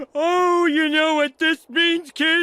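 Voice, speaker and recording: A man does a cartoonish character voice at an extremely high pitch with a monotone, flat intonation. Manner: goofy, excitable.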